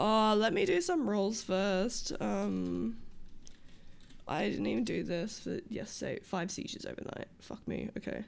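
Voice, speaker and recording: Talking at a fairly slow pace, the woman has an Australian accent. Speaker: streamer playing a roleplay character. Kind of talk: casual livestream chat.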